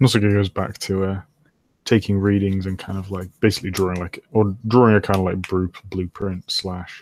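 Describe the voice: The background is quiet during plain reading aloud.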